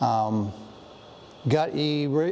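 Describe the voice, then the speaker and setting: A man is talking. The variation in his pitch is ordinary. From Penobscot reservation, Maine, US. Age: 60s. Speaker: Native artist and culture bearer. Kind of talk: museum interview, personal storytelling.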